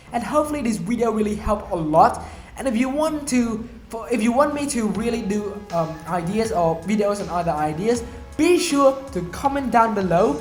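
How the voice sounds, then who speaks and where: A man talks loudly at a moderate pace, his voice high-pitched with lively intonation. There is audible room echo and music plays in the background. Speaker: self-improvement vlogger. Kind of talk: motivational vlog talk.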